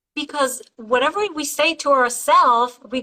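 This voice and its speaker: A raised, projected voice with a bright, sharp tone, animated, at a moderate pace, in a non-native accent. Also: woman. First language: not English. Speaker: interview host. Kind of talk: interview. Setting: live video interview.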